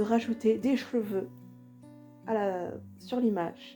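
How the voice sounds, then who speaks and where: A woman's fairly high voice over music in the background. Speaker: cosplayer. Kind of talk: voice-over tutorial narration.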